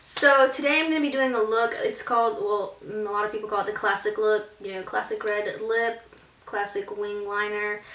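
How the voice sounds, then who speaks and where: There is noticeable background noise as a woman speaks at a moderate pace. Her pitch is fairly high, with ordinary variation. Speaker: beauty vlogger. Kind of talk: makeup tutorial talk to camera.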